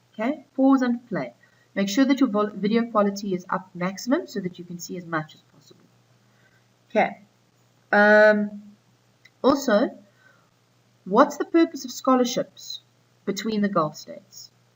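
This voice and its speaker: A woman speaks at a moderate pace in a somewhat breathy, fairly high voice, leaving long, frequent pauses. Her pitch swings very widely and her loudness shifts a great deal. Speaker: school teacher. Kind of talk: recorded lesson for students.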